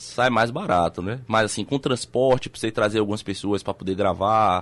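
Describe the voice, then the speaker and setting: A man talking at a fairly quick pace. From Salvador, Bahia, Brazil. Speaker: documentary filmmaker and journalist. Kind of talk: radio interview. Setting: radio studio. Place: studio. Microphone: studio mic.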